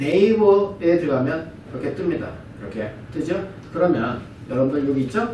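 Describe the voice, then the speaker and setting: Noticeable background noise and audible room echo surround a voice moving at a moderate pace with very wide pitch swings. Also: man, fairly high pitch for a man. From lived abroad long. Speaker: brand partner giving business presentation. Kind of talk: business presentation lecture. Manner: halting, self-correcting.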